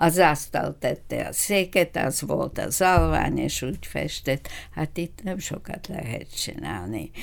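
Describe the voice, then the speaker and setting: A woman speaks very slowly, with hardly any pauses. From Bulgaria, Ruse region. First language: Bulgarian (speaking Hungarian). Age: 80s+. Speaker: retired doctor. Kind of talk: interview. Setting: studio.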